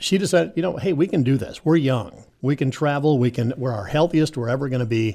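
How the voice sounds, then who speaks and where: On a very clean recording with a silent background, a man speaks fairly quickly in a dark, mellow, somewhat breathy tone with ordinary pitch variation. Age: 60s. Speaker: radio station manager and producer. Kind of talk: casual radio chat.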